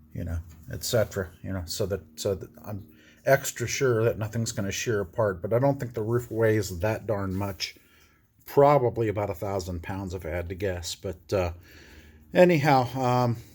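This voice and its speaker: The recording is very clean, with a silent background. A man speaks at a moderate pace in a somewhat breathy, fairly low voice with ordinary pitch variation. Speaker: DIY bus converter. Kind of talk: casual tutorial vlog. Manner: hesitant with many fillers.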